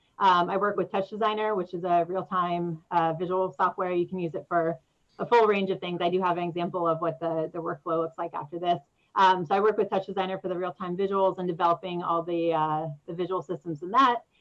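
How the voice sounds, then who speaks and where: Fairly low in pitch, a woman talks at a fairly quick pace with monotone, flat intonation. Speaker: audiovisual artist and performer. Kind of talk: presentation with slides. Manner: fast.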